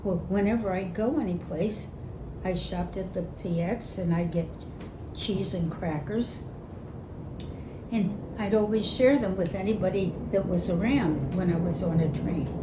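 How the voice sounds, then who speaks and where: The speaker moves at a moderate pace with ordinary pitch variation and long, frequent pauses, against noticeable background noise. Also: woman, medium pitch for a woman. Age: 80s+. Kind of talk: interview answer. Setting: outdoors. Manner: spunky.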